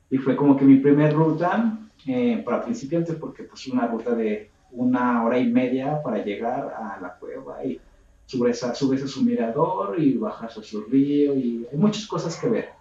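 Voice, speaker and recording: Over noticeable background noise, a man with a fairly high pitch speaks at a moderate pace, his intonation lively and his loudness swinging a lot. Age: 20s. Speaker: hiking group leader. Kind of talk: casual chat.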